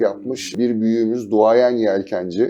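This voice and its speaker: A man's dark, mellow tone, fairly even in intonation and fairly slow in pace. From Turkey, Istanbul. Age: 60s. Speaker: sailing journalist and yacht captain. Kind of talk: TV interview.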